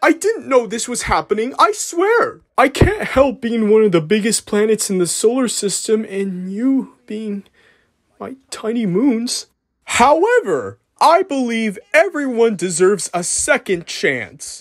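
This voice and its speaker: Using a put-on character voice, a man talks at a fairly slow pace in a high pitch. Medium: dub. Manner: nervous, hesitant.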